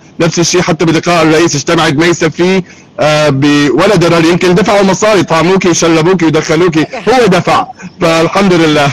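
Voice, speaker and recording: Over noticeable background noise, a man with a high pitch talks at a moderate pace, his intonation fairly even and his loudness very even. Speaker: Syrian-American community activist. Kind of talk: live online discussion.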